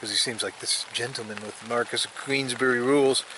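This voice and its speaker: A man against noticeable background noise. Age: 50s. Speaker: camping vlogger. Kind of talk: casual vlog narration. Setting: outdoors.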